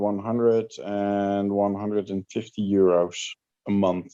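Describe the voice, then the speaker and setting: Against a quiet background, a man with a Dutch accent speaks very slowly in a dark, mellow tone with monotone, flat intonation. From Netherlands. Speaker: livestream guest. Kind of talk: casual chat.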